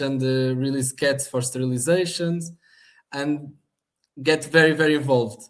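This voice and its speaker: Speaking at a moderate pace in a Portuguese accent, a man uses a fairly high pitch and fairly even intonation. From Portugal, Algarve (Portimão). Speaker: animal shelter manager. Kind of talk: interview.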